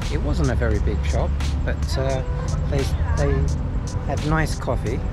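A man speaks over clear music in the background. The sound is dry, with no echo. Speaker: travel vlogger. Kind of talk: casual vlog chat. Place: garden. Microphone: phone near.

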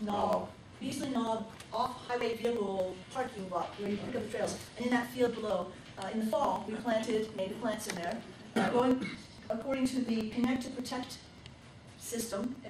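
A woman's fairly even intonation comes through noticeable background noise and audible room echo. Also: moderate pace. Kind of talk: business meeting announcements. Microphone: camera far.

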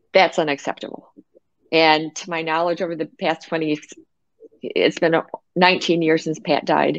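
Against a quiet background, a woman with an American accent and a fairly low pitch speaks at a fairly slow pace in a monotone, flat intonation, with long, frequent pauses and a dry sound with no echo. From United States. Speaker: patient safety advocate. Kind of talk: interview. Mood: earnest, sober storytelling. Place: home room. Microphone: video call.

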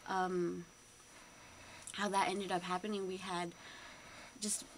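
Light background noise sits behind a woman with an American accent. Her intonation stays monotone and flat. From US, San Francisco Bay Area. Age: 20s. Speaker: college student and cultural night artistic director. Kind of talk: radio interview. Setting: radio studio. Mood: earnest, slightly nervous. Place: studio. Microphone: studio mic.

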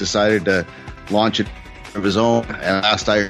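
With music in the background, a man talks at a moderate pace in a fairly low pitch. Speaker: podcast host. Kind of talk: podcast intro.

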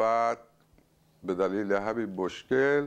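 The speaker is a man. His pitch sits in the medium range. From Iran, Isfahan; Iran. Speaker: writer and poet; poet. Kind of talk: interview. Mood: calm, reflective. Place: home room. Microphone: lapel.

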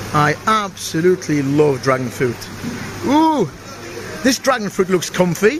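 A man's high voice with a British accent, fairly slow in pace, with very wide pitch swings, very even loudness, long and frequent pauses and noticeable background noise. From UK. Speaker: travel vlogger. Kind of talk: vlog walkthrough. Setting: supermarket on location. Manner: animated. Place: shop.

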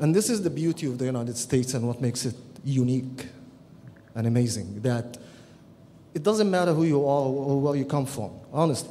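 A man with an Arabic accent at a fairly quick pace, ordinary pitch variation and long, frequent pauses, over light background noise. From Egypt. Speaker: peace activist and columnist. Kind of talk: conference panel talk. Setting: stage with audience. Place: hall. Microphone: podium.

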